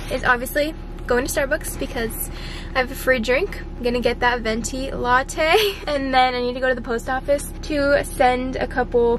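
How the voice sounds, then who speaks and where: Ordinary pitch variation in a dry sound with no echo, with noticeable background noise. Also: woman, high pitch for a woman, moderate pace. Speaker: vlogger. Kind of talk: casual vlog chat. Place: car. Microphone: phone near.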